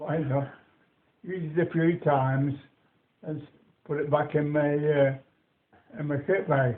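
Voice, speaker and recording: A man with a Lancashire accent speaks at a fairly slow pace with a fairly high pitch. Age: 80s+. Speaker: war veteran. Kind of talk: interview answer.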